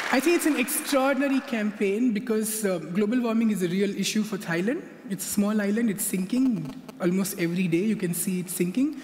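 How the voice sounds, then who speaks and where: A man with a high voice talks at a fairly quick pace with ordinary pitch variation, with audible room echo and noticeable background noise. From India. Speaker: conference speaker. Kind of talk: lecture. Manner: fast.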